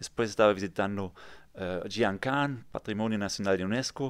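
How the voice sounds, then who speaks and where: A man with a German accent talks at a moderate pace in a fairly low pitch with ordinary pitch variation. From Germany, near Frankfurt (Kassel). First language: German (speaking Spanish). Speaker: real estate developer. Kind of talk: interview. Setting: studio.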